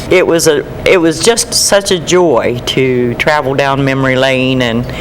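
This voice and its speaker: Amid noticeable background noise, a woman with a very deep, low pitch speaks at a fairly slow pace with ordinary pitch variation and hardly any pauses. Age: 70s. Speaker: painter and former paint store owner. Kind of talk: casual interview.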